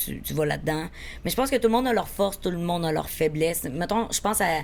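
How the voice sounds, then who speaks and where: A woman's fairly low-pitched, energetic voice with lively intonation and a very fast pace. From Quebec, Beauce region. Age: 20s. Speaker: actress and social media content creator. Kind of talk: casual podcast interview. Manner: spontaneous, energetic.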